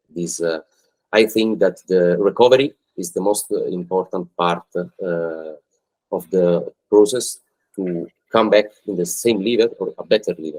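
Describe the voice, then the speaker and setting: A man's fairly low-pitched voice with an Italian accent, at a fairly slow pace, with ordinary pitch variation and a dry, close sound with no echo. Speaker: football agent. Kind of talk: podcast interview. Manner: halting.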